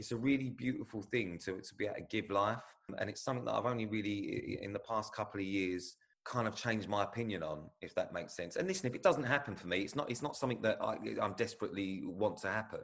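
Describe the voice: A man talks at a fast pace in a fairly bright tone.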